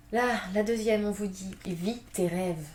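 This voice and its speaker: A woman speaks with fairly even intonation. Audible room echo and noticeable background noise surround her voice. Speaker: tarot card reader. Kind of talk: tarot reading. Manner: fast; hesitant, many fillers.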